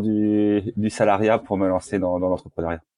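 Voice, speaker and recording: Dark, mellow tone at a moderate pace, dry and close with no echo, over a quiet background. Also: man. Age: 40s. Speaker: tech startup co-founder and CEO. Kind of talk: casual interview. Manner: hesitant, many fillers.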